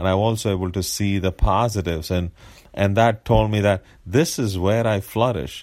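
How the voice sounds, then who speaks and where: On a very clean recording with a silent background, a man with a very deep, low pitch speaks at a moderate pace with ordinary pitch variation. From India. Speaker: engineer and church elder. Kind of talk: casual chat. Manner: halting.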